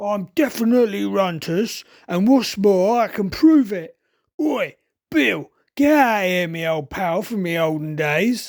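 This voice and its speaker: This raspy, put-on character voice sits at a middle pitch and moves at a fairly slow pace over a very clean recording with a silent background. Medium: read story. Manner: bossy, crude, blustering.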